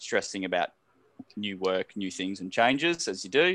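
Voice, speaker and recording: An Australian accent with lively intonation at a fairly quick pace, in a dry, close sound with no echo. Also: man. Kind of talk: casual chat. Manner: fidgety, rambling.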